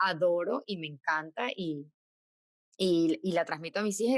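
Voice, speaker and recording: A woman speaks with a strong Caracas accent, her voice dry and close with no echo at all. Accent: strong Caracas Venezuelan. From Venezuela, Caracas. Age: 40s. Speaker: podcast co-host, dentist. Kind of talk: casual chat.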